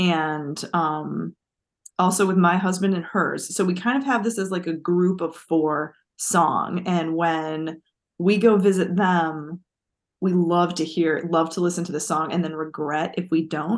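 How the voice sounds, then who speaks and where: Against a quiet background, a woman with an unremarkable speaking voice talks in a fairly low pitch with fairly even intonation. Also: fairly slow pace. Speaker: literature professor and podcast co-host. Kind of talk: casual chat. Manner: laughs often.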